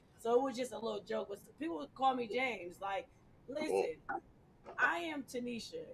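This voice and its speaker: This woman talks at a fairly quick pace in an animated tone. Her pitch varies in an ordinary way. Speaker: community activist. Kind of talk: casual chat.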